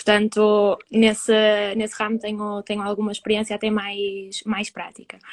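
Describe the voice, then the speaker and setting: The voice moves at a moderate pace with monotone, flat intonation, the sound dry and close with no echo. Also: woman, fairly high pitch for a woman. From northern Portugal (Famalicão). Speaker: psychology student. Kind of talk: interview. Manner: halting.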